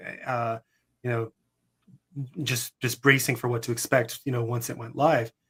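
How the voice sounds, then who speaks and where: Bright and sharp in tone, the voice moves at a fairly quick pace with fairly even intonation, recorded very cleanly against a silent background. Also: man. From Canada. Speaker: author. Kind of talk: interview. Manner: fast.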